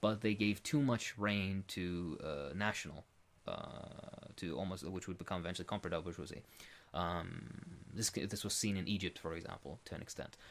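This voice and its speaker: His pitch sits very deep and low. The man keeps a moderate pace. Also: ordinary pitch variation. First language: Arabic. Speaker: political commentator being interviewed. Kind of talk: Q&A interview answer. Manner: halting, many fillers.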